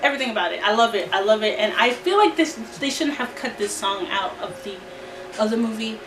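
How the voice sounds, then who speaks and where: A woman talks at a fairly quick pace with a fairly high pitch and ordinary pitch variation, amid audible room echo and noticeable background noise. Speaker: YouTuber reviewing movie soundtracks. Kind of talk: casual vlog review. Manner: filler-heavy, repetitive.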